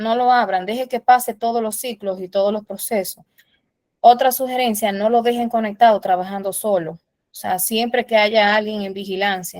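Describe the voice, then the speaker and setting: In a plain, everyday voice, a woman with a fairly high pitch speaks at a moderate pace with fairly even intonation and big swings in loudness. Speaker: instructor. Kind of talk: lecture.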